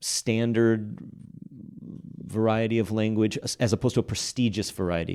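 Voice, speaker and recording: Speaking at a moderate pace, a man with an American accent has a fairly low pitch and a dark, mellow tone. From Texas, Fort Worth. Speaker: linguistics professor. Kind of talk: podcast interview. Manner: hesitant, many fillers.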